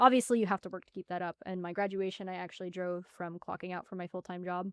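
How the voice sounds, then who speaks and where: A woman's medium-pitched voice at a very fast pace, on a very clean recording, dry and close with no echo and a silent background. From Arizona, Tempe/Phoenix area. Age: 20s. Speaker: former student telling her life story. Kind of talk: podcast interview.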